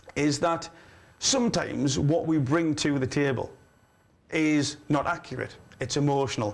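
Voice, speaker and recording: A man talks at a moderate pace with long, frequent pauses. His pitch is fairly high, with ordinary variation and very even loudness. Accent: Geordie. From northeast England. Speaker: livestream host. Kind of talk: live call-in show. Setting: studio. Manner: animated.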